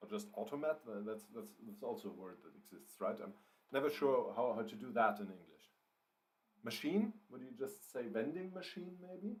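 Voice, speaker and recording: With a German accent, a man talks at a moderate pace in a fairly high voice with vocal fry, very wide pitch swings and big swings in loudness. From Germany. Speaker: writer and livestreamer. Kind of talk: live writing stream, casual chat. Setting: livestream. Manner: hesitant, many fillers and repeats.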